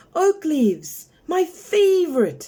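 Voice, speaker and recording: Here is a woman's put-on character voice, squeaky and extremely high-pitched. Her intonation is lively. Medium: read story.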